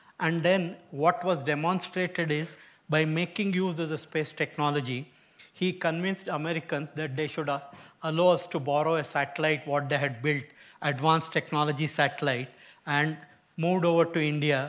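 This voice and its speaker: Fairly quick and fairly even in intonation, a man's speech moves along. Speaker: guest lecturer. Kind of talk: lecture. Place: hall.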